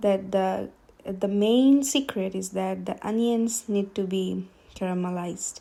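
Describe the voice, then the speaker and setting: A woman speaks in a Bengali accent. Her pace is fairly slow. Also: medium pitch for a woman, ordinary pitch variation. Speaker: home cook. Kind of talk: cooking video voice-over. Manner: hesitant, many fillers.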